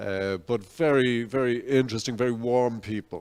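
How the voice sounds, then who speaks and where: A man talks with a Dublin accent. The recording is very clean, with a silent background. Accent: Dublin Irish English. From Ireland, Dublin. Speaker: invited speaker. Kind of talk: public talk. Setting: cafe event with audience.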